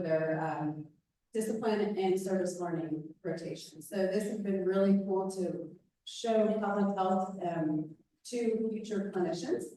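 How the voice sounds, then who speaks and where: A woman's dark, mellow voice sits at a medium pitch with fairly even intonation. She speaks at a fairly slow pace, and audible room echo surrounds her. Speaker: nonprofit dental clinic director. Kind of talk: presentation to a club meeting. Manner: loud.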